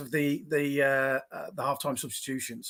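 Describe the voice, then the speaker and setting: Heard on a very clean recording with a silent background, a man speaks with an English accent. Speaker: football fan. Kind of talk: casual chat. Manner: halting.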